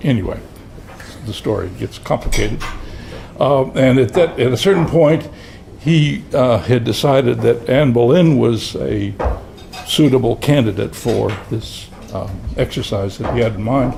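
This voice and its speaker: Over noticeable background noise, a man at medium pitch talks at a fairly slow pace with lively intonation and long, frequent pauses. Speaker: retired criminology professor. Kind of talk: speech at a commemorative luncheon. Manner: halting.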